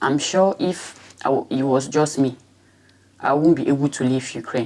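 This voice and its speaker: Speaking at a fairly slow pace, a woman has a very deep, low pitch and fairly even intonation. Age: 20s. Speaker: war refugee, former student. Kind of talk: testimony. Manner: halting, with fillers.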